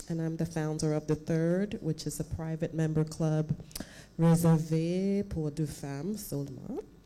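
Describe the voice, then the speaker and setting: A woman speaks with a dark, mellow tone at a fairly low pitch. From United States. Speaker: club founder. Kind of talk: public speech.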